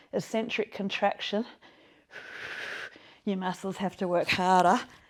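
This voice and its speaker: A woman's put-on character voice, strained, at medium pitch, with fairly even intonation and a moderate pace. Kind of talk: instructional. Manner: strained, effortful.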